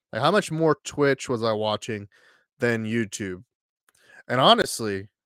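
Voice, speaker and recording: A man speaks at a medium pitch and moderate pace with an American accent and ordinary pitch variation, the sound dry and close with no echo, on a very clean recording with a silent background. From Texas. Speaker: streamer and content creator. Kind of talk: solo livestream chat. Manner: halting, many fillers.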